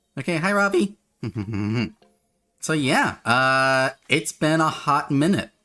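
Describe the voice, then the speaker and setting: A man's medium-pitched voice comes through with music in the background. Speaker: streamer. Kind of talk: casual chat. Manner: chatty, informal.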